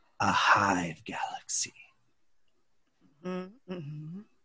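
This is a man speaking. He uses a put-on character voice. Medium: actual play. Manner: calm, polite, salesy.

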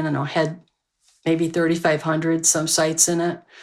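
Over a silent background on a very clean recording, a woman with a normal speaking voice and fairly low pitch talks at a fairly quick pace. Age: 60s. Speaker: librarian and internet pioneer. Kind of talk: interview storytelling.

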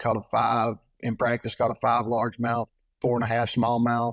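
A man speaks at a medium pitch and a moderate pace. The sound is dry and close, with no echo and a quiet background. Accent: Texan. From Texas (Trinidad). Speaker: tournament bass angler. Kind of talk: casual interview.

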